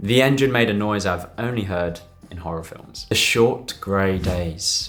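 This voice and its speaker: Music plays in the background as a man speaks at a fairly low pitch and fairly slow pace with ordinary pitch variation. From UK. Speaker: doctor. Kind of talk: casual talk to camera.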